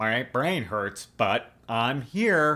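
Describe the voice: A man's medium-pitched delivery comes in a put-on character voice.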